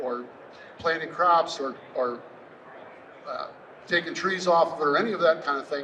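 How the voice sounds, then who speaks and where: A man with an American accent speaks at a moderate pace in a high pitch with ordinary pitch variation, over noticeable background noise. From US Midwest, southwest Wisconsin. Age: 60s. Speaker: landowner and conservation speaker. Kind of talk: presentation to an audience. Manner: casual, conversational.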